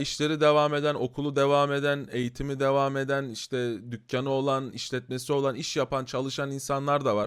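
At a fairly quick pace, a man with an ordinary speaking voice talks at a medium pitch on a very clean recording with a silent background. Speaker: YouTuber commenting on current affairs. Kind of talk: casual commentary video. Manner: conversational, filler-heavy.

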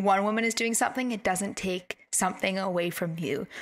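In a Canadian accent, a woman speaks at a moderate pace and medium pitch with an animated, bright, sharp tone and ordinary pitch variation, in a very clean recording with a silent background. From Canada. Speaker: podcast host and life coach. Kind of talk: casual interview chat. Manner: animated, laughs often.

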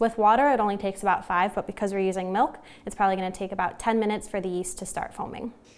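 This woman talks at a very fast pace. Her intonation stays fairly even. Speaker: cooking channel host. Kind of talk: tutorial. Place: kitchen. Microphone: lapel.

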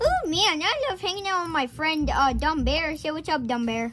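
A cartoonish character voice talks at a high pitch and a moderate pace. Clear background noise runs underneath. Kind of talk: improvised puppet comedy skit.

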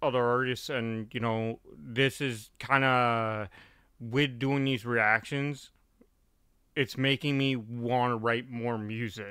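Fairly slow, fairly even speech from a man, dry with no echo, over a quiet background. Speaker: reaction streamer. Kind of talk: casual reaction commentary. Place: home room. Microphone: studio mic.

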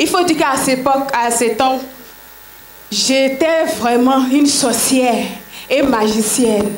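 Over light background noise and audible room echo, a woman talks fairly slowly in a high voice with ordinary pitch variation. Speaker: church member giving testimony. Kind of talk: testimony. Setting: church. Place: tent. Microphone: handheld.

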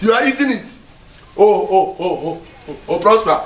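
A man speaks against noticeable background noise. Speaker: comedy skit actor. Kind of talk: comic skit dialogue and channel outro. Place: street.

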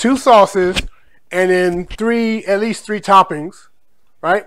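Over light background noise, a high-pitched man speaks at a very slow pace with fairly even intonation. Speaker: food vlogger. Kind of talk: casual vlog chat. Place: kitchen. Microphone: phone near.

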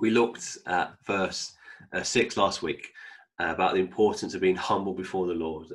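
A man speaks in a normal speaking voice, fairly low in pitch, at a moderate pace. His intonation is fairly even, and the background is quiet. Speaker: bible teacher. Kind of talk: sermon. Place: home room. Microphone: webcam.

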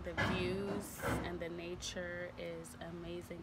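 The speaker is a woman. There is noticeable background noise behind her. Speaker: vlogger. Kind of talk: casual vlog chat. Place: cafe. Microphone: phone near.

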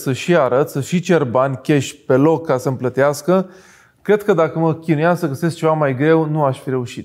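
Against a quiet background, a man with a fairly high pitch speaks at a moderate pace, his loudness swinging widely. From Romania. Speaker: entrepreneur; interview guest. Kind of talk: interview. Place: studio. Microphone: lapel.

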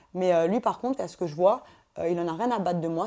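Very fast speech from a woman at a medium pitch, dark and mellow in tone, with ordinary pitch variation and a quiet background. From Paris suburbs, Essonne; France. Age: 20s. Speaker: reality TV contestant; TV interviewee. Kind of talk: casual interview. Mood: candid, sometimes indignant. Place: home room.

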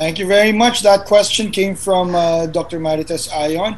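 A man's high-pitched voice with little pitch movement at a moderate pace

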